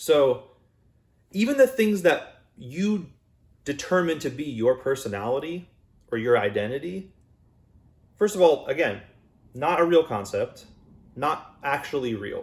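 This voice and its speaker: A loud man's voice, fairly high in pitch, with very wide pitch swings, a fairly slow pace and long, frequent pauses. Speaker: YouTuber and musician. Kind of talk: casual personal vlog monologue. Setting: home recording, unusual room. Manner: conversational, loose with fillers and restarts.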